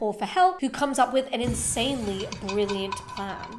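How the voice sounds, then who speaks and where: There is noticeable background noise as a woman speaks at a moderate pace. Her tone is enthusiastic. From Liverpool, England. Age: 20s. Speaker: corporate consultant, video essayist. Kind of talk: video essay narration. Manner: casual, enthusiastic.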